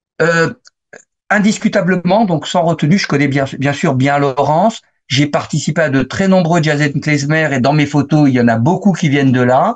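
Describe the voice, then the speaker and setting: A man speaks at a moderate pace with a fairly high pitch and ordinary pitch variation. His voice is somewhat breathy, and his loudness stays very even. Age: 60s. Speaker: photographer and author. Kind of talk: interview.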